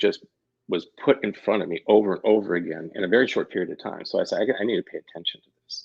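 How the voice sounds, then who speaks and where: A man with a Midwestern American accent at a moderate pace, dry and close with no echo. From Missouri, Kansas City. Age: 60s. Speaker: labyrinth facilitator and yoga teacher. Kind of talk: interview, personal story. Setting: radio show. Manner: halting, many false starts.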